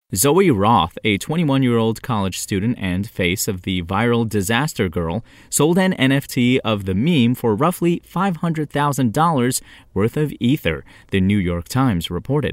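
Pitch swings very widely at a fairly slow pace in a very clean recording with a silent background. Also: man. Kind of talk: news bulletin read aloud, brisk daily tech headlines. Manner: crisp, even and businesslike, newsreader delivery.

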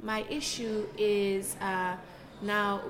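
A woman's medium-pitched voice, with audible room echo and noticeable background noise. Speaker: artist. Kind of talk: interview. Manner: animated.

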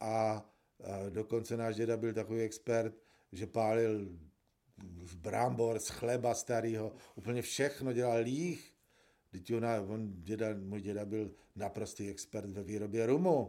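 Very slowly and with fairly even intonation, a man speaks in a dark, mellow tone. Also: medium pitch for a man. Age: old. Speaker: forensic pathologist and professor. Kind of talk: interview.

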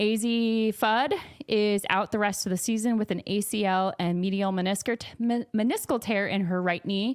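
A woman with an unremarkable speaking voice, medium pitch, fairly even intonation, very even loudness and a moderate pace. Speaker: podcast host. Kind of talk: casual chat. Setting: studio.

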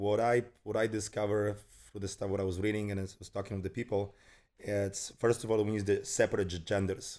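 Someone with a Polish accent talks at a fairly quick pace on a very clean recording with a silent background. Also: man. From Poland. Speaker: fitness trainer. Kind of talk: interview. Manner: halting.

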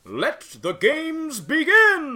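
A man's put-on character voice climbs to an extremely high pitch.

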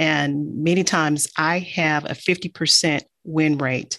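A woman's very deep, low voice with fairly even intonation, on a very clean recording over a silent background. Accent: American. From Detroit, Michigan. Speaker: engineering firm CEO. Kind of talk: interview.

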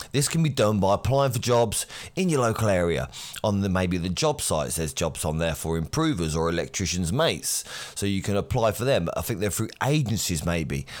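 A man with an English accent speaks at a fairly quick pace, his pitch fairly low and swinging very widely. The recording is very clean, with a silent background. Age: 40s. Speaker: electrician and podcast host. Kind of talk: solo podcast monologue.

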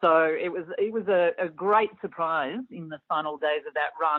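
At a moderate pace, a woman speaks with fairly low pitch. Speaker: physicist. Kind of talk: expert interview answering a host's questions. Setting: interview. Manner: measured, thoughtful, explanatory; slightly hesitant with fillers.

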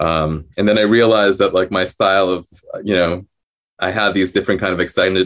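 Speaking with a New Jersey accent, a man uses a very deep, low pitch and fairly even intonation. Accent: American, New Jersey. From New Jersey, US. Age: 30s. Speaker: composer and violinist. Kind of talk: interview. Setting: video call. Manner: halting, many fillers.

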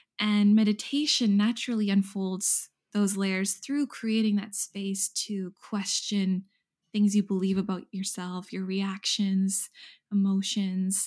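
A woman speaks very slowly in a somewhat breathy, flat monotone. The recording is very clean with a silent background. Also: medium pitch for a woman. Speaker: meditation teacher. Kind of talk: casual interview chat.

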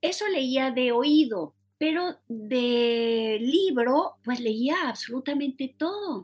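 A woman talks at a very slow pace. Her voice is high-pitched, with lively intonation. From Mexico City. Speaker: novelist and poet. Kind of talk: interview.

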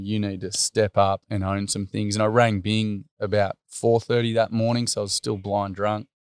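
In a very clean recording with a silent background and a dry, close sound with no echo, a man speaks at a moderate pace in a fairly low, monotone, flat voice. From Australia. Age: 30s. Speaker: school teacher and workshop facilitator. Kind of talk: interview storytelling. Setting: at his family home.

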